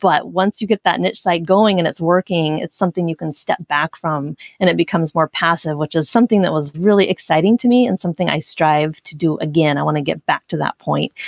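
Speaking with an American accent at a fairly quick pace, a woman with a fairly low pitch uses ordinary pitch variation and hardly any pauses, in a dry, close sound with no echo. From US Pacific Northwest, Portland, Oregon. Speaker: blogger and former radio journalist. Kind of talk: interview.

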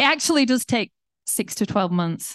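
A woman with vocal fry at a very fast pace, ordinary pitch variation, dry, close sound with no echo, and a quiet background. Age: 40s. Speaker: pastor. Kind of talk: sermon.

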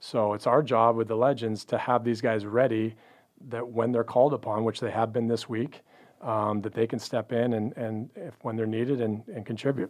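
At a moderate pace, the speaker talks with a Western Canadian accent in a monotone, flat intonation. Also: man, medium pitch for a man. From Canada, Pacific Northwest. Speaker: pro basketball front office executive. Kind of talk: casual interview. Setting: studio.

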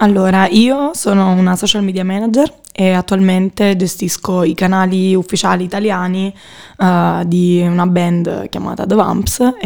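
At a fairly slow pace, a woman speaks in an ordinary speaking voice with a medium pitch and fairly even intonation. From Naples, Italy. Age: 20s. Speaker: student and social media manager. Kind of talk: casual interview. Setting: studio.

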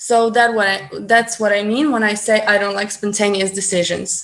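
A woman with a Ukrainian accent talks in a fairly high pitch. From Ukraine. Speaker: guest, language enthusiast. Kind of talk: casual interview. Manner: hesitant, many fillers.

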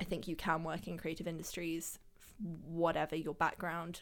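With a London accent, a woman speaks at a moderate pace in a fairly low voice with vocal fry, on a very clean recording with a silent background. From Germany, raised London. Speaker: photographer. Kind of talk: casual interview chat. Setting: studio.

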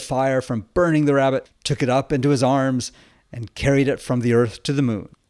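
A man talks at a moderate pace in a normal speaking voice, on a very clean recording with a silent background. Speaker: Orthodox priest podcaster. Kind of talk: folk tale narration, storytelling a myth in a gentle, measured storyteller's voice.

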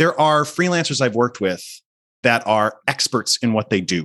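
A man's bright, sharp tone comes through against a quiet background. His pitch moves in very wide swings. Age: 40s. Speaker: media editor. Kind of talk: casual interview.

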